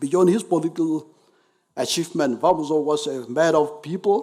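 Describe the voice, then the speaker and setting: A man with a Nagaland accent talks at a fairly slow pace. His pitch is fairly high. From Nagaland, India. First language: Naga dialect. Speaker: speaker at memorial event. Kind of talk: formal commemorative speech. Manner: formal.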